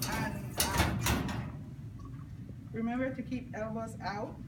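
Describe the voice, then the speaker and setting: A woman speaks over loud background noise. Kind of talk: tutorial. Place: classroom. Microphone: phone near.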